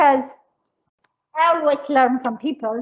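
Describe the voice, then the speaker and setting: A woman speaks with an Eritrean accent. Her pitch is high. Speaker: cooking instructor. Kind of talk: cooking class. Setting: livestream cooking class.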